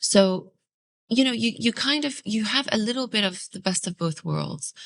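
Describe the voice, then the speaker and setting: A woman speaks with an Arabic accent at a moderate pace. Her voice is fairly high-pitched, with lively intonation. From UAE (early years Iraq, Australia). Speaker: podcast host. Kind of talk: casual interview conversation. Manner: hesitant, many fillers.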